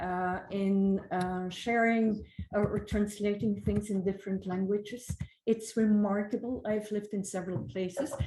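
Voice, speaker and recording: A woman with a non-native accent speaks fairly slowly at a medium pitch, somewhat breathy, with a dark, mellow tone, fairly even intonation and audible room echo. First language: not English. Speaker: conference speaker. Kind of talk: conference keynote.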